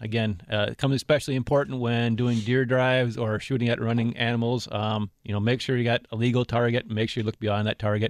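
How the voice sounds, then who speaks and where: A man with an American accent talks at a very fast pace and medium pitch, with monotone, flat intonation. The background is quiet, and the sound is dry and close with no echo. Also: hardly any pauses. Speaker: recreation safety warden. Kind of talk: radio interview. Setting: studio.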